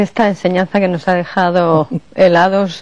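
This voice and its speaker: In an unremarkable speaking voice, a woman talks at a fairly slow pace with medium pitch. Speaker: radio program host and interviewer. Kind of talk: interview questions.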